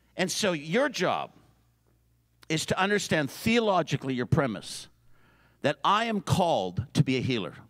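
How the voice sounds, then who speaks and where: A man with a Canadian accent talks at a moderate pace in a fairly high pitch with very wide pitch swings, vocal fry and long, frequent pauses. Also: quiet background. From Canada. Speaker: preacher. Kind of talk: sermon. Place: hall. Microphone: handheld.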